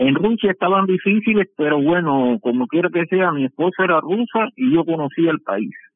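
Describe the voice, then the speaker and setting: The man's pitch is high and his pace moderate. He leaves hardly any pauses and keeps his loudness very even. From Cuba. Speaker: shipbuilding engineer. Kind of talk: interview. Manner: halting.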